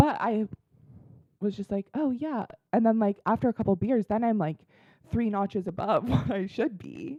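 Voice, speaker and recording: A woman speaks at a moderate pace with lively intonation and a fairly high pitch, her tone dark and mellow. The sound is dry and close with no echo, and her pauses are long and frequent. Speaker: podcast co-host. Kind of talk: casual chat. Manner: loud.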